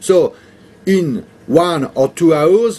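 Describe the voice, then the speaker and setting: Lively intonation marks the speech of a man who has a non-native accent. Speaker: video blogger. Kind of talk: casual vlog commentary. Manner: halting, many fillers and repetitions.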